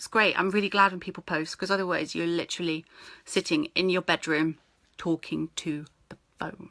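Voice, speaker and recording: A woman speaks with a British accent in a fairly low pitch and a bright, sharp tone. Her intonation is fairly even, but her loudness swings a lot. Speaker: network marketing team leader. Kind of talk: live-stream training talk. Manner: fast.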